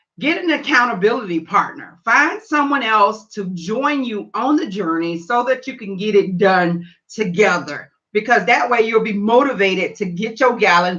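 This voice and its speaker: The tone is animated and the pace moderate. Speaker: health and weight loss coach. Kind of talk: live stream tutorial. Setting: live stream on Facebook and YouTube.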